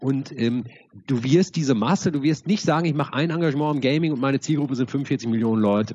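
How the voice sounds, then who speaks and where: A man talks at a fairly quick pace in a dark, mellow tone with ordinary pitch variation. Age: 40s. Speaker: co-founder of an esports nonprofit. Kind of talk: interview.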